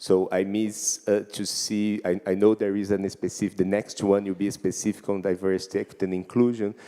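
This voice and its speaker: With a Portuguese accent, a man speaks at a fairly quick pace with hardly any pauses, his fairly low voice dark and mellow in tone and his intonation monotone and flat. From Brazil. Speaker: ocean literacy expert. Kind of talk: conference discussion.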